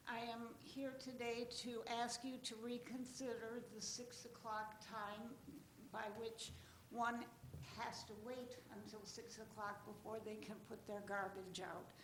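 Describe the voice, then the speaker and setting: A woman speaks in a monotone, flat way. Noticeable background noise and audible room echo fill the recording. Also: fairly high pitch for a woman, fairly slow pace. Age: 80s+. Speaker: citizen addressing city council. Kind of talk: public comment at council meeting. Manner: formal.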